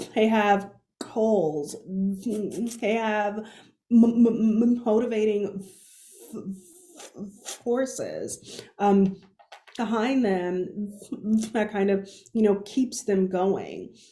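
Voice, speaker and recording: A woman's very slow, somewhat breathy voice, fairly high in pitch with a dark, mellow tone and fairly even intonation, broken by long, frequent pauses, with audible room echo. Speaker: keynote speaker. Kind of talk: conference keynote talk. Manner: halting, frequent sound repetitions.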